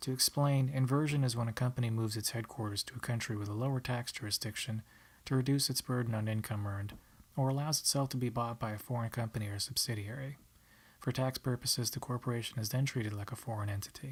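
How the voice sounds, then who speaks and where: Quiet and somewhat breathy, a man of medium pitch speaks very fast with fairly even intonation on a very clean recording with a silent background. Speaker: college student. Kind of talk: class presentation narration. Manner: quiet, monotonous.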